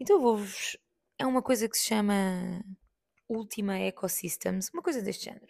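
A woman with a European Portuguese accent speaks at a moderate pace in a somewhat breathy, fairly high voice, with ordinary pitch variation, big swings in loudness, and long, frequent pauses. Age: 30s. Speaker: podcast host. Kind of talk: casual monologue.

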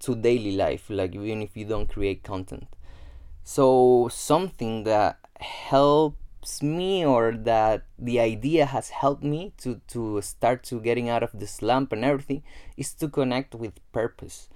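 Pitch shifts in an ordinary way. The voice has a dark, mellow tone. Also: man. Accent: Spanish. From Gran Canaria, Spain. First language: Spanish. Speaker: self-development podcaster. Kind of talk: solo podcast monologue. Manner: casual, with frequent fillers and repetitions.

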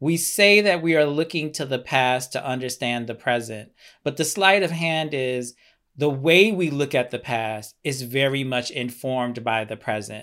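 A man with an American accent speaks at a moderate pace and a medium pitch, his tone bright and sharp. The recording is very clean, with a silent background. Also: ordinary pitch variation. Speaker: oral historian and educator. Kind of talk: interview.

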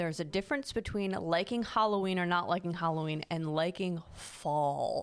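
A woman with an ordinary speaking voice talks at a moderate pace in a fairly low pitch, with ordinary pitch variation, very even loudness and hardly any pauses. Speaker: podcast host. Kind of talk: casual chat.

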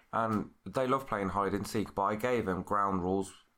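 A man speaks in a plain, everyday voice, fairly low in pitch. His intonation stays fairly even at a moderate pace. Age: 30s. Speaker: early years practitioner and podcast host. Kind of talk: casual chat.

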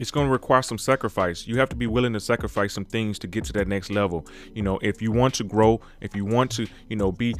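Over background music, a man rattles off his words very fast. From Mississippi, small town. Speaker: podcast host. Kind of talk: solo podcast monologue. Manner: casual, conversational.

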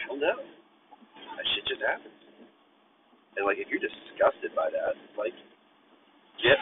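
Long, frequent pauses break up a man's speech, which has big swings in loudness. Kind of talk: angry rant. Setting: in a car. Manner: loud, irritated, profanity-laden venting, fast and sarcastic; rambling, stream-of-consciousness.

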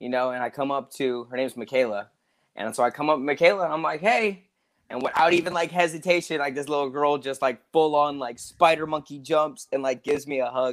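A man with an American accent talks at a fairly quick pace and a fairly high pitch. He has a normal speaking voice with ordinary pitch variation. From US South, Georgia. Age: 20s. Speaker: martial arts instructor. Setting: video call.

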